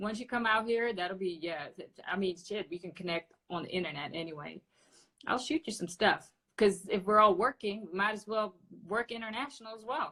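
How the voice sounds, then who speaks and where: With a Dutch accent, a woman speaks fairly quickly at a medium pitch. Her pitch varies in an ordinary way, while her loudness swings widely. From Netherlands, Amsterdam. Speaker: podcast host. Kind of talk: casual interview. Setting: Instagram live video call.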